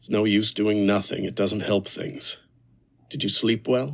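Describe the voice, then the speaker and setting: Using a raspy put-on character voice at a fairly low pitch, a man talks at a moderate pace with fairly even intonation and big swings in loudness. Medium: read story.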